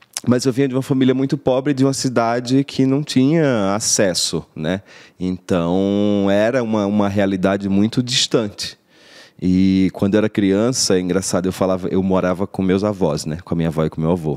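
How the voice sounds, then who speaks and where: Speaking at a moderate pace with a northeastern Brazilian accent, a man uses a fairly low pitch and ordinary pitch variation on a very clean recording with a silent background. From Paraíba, northeastern Brazil (Rio Tinto). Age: 30s. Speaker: actor. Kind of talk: interview, life story. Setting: studio.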